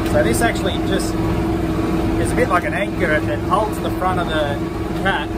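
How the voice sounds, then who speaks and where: A man talking at a fairly quick pace over loud background noise. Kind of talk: casual vlog chat. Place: farm machine. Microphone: headset.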